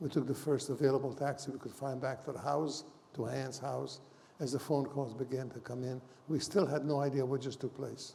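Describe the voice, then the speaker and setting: A man speaks fairly quickly in a fairly high pitch, his dark, mellow tone somewhat breathy and his intonation monotone and flat. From Hungary. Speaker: Holocaust survivor. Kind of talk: testimony.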